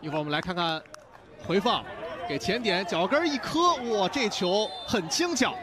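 Against noticeable background noise, a man in an excited tone speaks in a high voice with very wide pitch swings and long, frequent pauses. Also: moderate pace. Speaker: football commentator. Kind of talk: live football commentary. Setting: broadcast commentary. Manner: excited, raised voice on goals.

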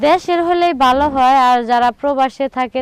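Recorded with a dry, close sound and no echo, a woman speaks with ordinary pitch variation. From Bangladesh, Trishal (Mymensingh). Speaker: woman seeking a marriage partner. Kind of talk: direct-to-camera appeal; interview.

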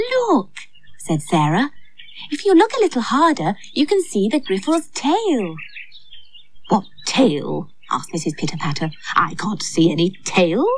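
A woman speaks at medium pitch with a gentle, somewhat breathy tone and very wide pitch swings. She goes at a fairly slow pace, leaving long, frequent pauses. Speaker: storyteller and actor playing Aunt Flo. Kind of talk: storybook narration. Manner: gentle, lilting, expressive storyteller tone; warm and cheery as Aunt Flo.

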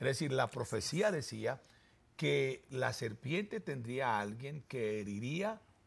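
A man speaks at a fairly slow pace in a medium-pitched voice with vocal fry. His pitch swings very widely. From Colombia, Armenia (Quindío); Colombia. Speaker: pastor; pastor guest on religious talk show. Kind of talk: sermon-style talk show discussion. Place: studio. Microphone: lapel.

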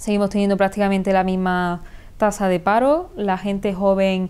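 A woman's dark, mellow voice with fairly even intonation. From Córdoba province, Andalusia, Spain. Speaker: politician. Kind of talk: interview answer. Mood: firm, critical, assertive. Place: studio. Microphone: lapel.

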